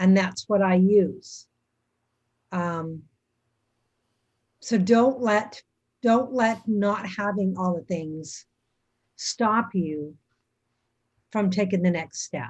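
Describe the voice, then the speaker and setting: Over a quiet background, the speaker goes at a very slow pace with long, frequent pauses, a somewhat breathy sound and ordinary pitch variation. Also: woman, medium pitch for a woman. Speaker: YouTuber panelist. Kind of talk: live panel discussion.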